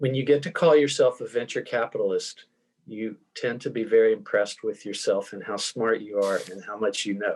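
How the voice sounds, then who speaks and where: This man with a Tennessee accent talks at a fairly quick pace, his loudness swinging widely. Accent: Southern US (Tennessee). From US South, Tennessee. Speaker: venture fund co-founder, author. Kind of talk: interview.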